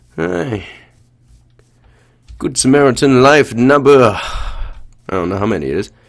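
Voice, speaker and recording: At a very slow pace, a man talks in a medium-pitched voice with vocal fry. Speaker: gamer commentating gameplay. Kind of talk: casual, profane.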